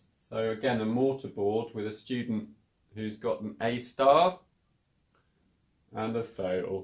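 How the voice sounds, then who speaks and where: A British accent from a man at medium pitch, at a very slow pace. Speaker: English teacher. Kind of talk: English lesson to camera. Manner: casual, clear.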